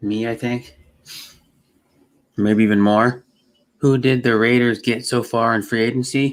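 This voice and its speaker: A man with an American accent speaks at a medium pitch in a flat monotone. His speech is broken by long, frequent pauses. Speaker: live streamer. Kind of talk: casual live stream chat. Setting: at home computer. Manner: fast; halting, repeats words.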